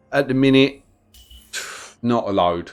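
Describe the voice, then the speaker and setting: A man with a London accent. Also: very clean recording, silent background. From London, England. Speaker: gaming streamer. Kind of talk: live gameplay stream chat. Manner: casual, with frequent fillers.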